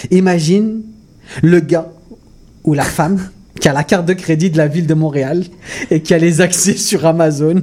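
A man with a high pitch speaks at a moderate pace with fairly even intonation and long, frequent pauses. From Mauritius. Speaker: comedian. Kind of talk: comedic radio chat. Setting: studio.

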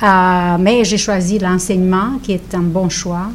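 A woman at a very slow pace with fairly even intonation over noticeable background noise. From Romania. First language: Romanian (speaking French). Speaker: author and teacher. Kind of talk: radio interview. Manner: halting.

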